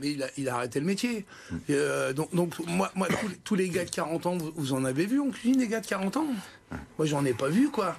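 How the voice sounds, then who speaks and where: At a moderate pace, a man with a high pitch uses an animated tone full of very wide pitch swings. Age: 50s. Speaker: restaurant chef. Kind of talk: TV studio interview. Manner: animated, halting with many repetitions.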